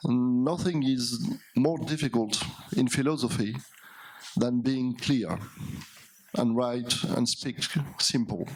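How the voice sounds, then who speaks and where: Over noticeable background noise, a man with a French accent talks at a very slow pace, with long, frequent pauses, very even loudness and ordinary pitch variation. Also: medium pitch for a man. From France. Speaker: philosopher. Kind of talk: lecture. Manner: halting, with hesitations.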